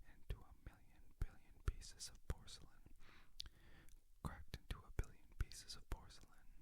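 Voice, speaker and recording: Someone is whispering. The pace is moderate. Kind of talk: ASMR trigger words for sleep and relaxation. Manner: soft-spoken, whispering.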